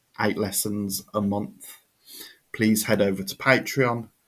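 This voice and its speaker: In a British accent, a man with a fairly low pitch speaks at a fairly slow pace on a very clean recording with a silent background. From United Kingdom. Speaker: English teacher. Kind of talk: tutorial; sales pitch.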